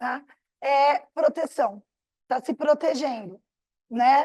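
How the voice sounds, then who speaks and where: A woman's high-pitched voice at a very slow pace, with ordinary pitch variation and a dry, close sound with no echo. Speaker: psychotherapist and bioenergetics teacher. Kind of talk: lecture.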